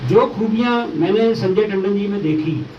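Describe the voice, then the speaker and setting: There is audible room echo and noticeable background noise as a man speaks in a high voice. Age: 60s. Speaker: politician. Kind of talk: press conference statement. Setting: press conference with journalists.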